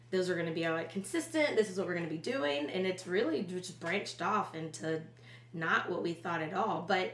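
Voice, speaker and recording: A woman's fairly low voice in an American accent, with ordinary pitch variation over noticeable background noise. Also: fairly quick pace. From Charleston, South Carolina. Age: 30s. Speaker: business co-founder. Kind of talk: casual interview.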